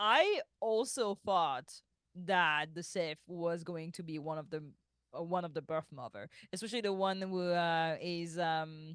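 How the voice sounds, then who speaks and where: A fairly slow delivery in a French accent over a quiet background. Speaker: podcast co-host. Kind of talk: casual chat.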